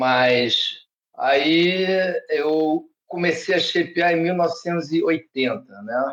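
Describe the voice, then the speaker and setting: A man speaking at a very slow pace. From Brazil, Rio de Janeiro. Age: 60s. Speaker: surfboard shaper. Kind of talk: podcast interview.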